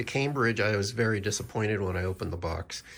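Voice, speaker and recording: A man is speaking. His voice is somewhat breathy. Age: 60s. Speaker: Bible reviewer, podcaster. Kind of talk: product review. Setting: home office. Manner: hesitant, many fillers.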